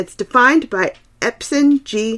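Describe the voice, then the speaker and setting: A woman with a Southern US accent speaks in a bright, sharp tone. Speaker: podcast host. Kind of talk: literary discussion podcast. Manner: occasionally slurred words.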